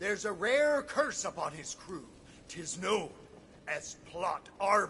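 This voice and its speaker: A man in a put-on character voice at a fairly slow pace, with clear background noise. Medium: video game. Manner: hearty, swaggering.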